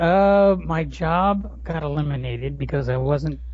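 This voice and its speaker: A man's voice with audible room echo. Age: 40s. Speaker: blogger and writer. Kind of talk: casual chat. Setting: home garage.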